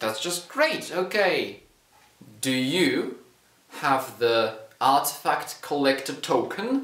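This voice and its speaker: A man talks at a very slow pace, with audible echo from the room. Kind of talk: comedy sketch dialogue. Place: home room.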